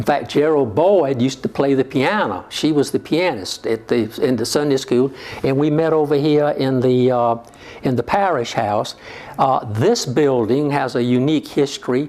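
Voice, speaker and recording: Someone speaks with a South Carolina Lowcountry accent at a moderate pace, with very even loudness and ordinary pitch variation. Noticeable background noise is present. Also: man, fairly high pitch for a man. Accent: US Southern, South Carolina Lowcountry. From South Carolina Lowcountry (Georgetown). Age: 70s. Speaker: retired politician and church parishioner. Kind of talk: oral history interview. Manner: halting, frequent fillers.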